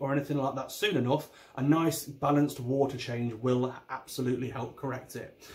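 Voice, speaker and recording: A man with an East Midlands accent speaks at a fairly quick pace. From England, Derby. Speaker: aquarium YouTuber. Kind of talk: video tutorial. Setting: home recording on camera. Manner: animated. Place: home room. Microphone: phone near.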